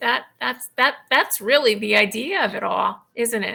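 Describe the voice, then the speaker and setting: A woman speaks fairly slowly with a bright, sharp tone, a fairly high pitch and vocal fry. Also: very clean recording, silent background. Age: 60s. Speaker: patient advocate and blogger. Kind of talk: interview.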